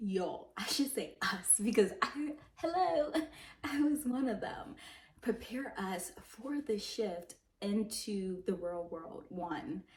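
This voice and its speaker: Very slowly, a woman speaks in a fairly high, somewhat breathy voice with very wide pitch swings. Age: 20s. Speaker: lifestyle vlogger. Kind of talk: casual vlog monologue.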